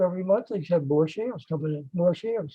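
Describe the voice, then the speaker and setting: Speaking at a fairly quick pace, a man uses a high pitch. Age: 80s+. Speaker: retired investor. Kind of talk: testimony. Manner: halting.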